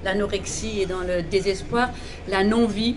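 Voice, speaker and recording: With an Alsatian accent, a woman speaks at a moderate pace and medium pitch with fairly even intonation, amid noticeable background noise and audible room echo. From Alsace, France. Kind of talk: testimony.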